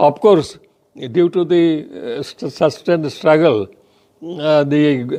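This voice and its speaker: A man speaks with fairly high pitch and ordinary pitch variation. His tone is dark and mellow. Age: 80s+. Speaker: veteran trade union leader. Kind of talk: reminiscence talk.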